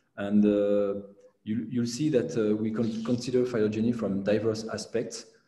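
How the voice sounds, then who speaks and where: The voice is somewhat breathy, with a dark, mellow tone. Audible room echo fills an otherwise quiet background. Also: man. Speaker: lecturer. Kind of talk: lecture. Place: home room. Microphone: webcam.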